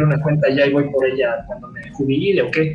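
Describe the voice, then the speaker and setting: A man's fairly high-pitched voice with ordinary pitch variation, plus noticeable background noise and audible room echo. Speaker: software developer. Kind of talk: casual chat. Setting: live stream from a home. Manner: fast.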